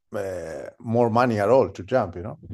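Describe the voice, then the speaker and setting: A man with a Spanish accent speaks with lively intonation. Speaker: professional skydiving videographer. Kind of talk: interview. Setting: remote call.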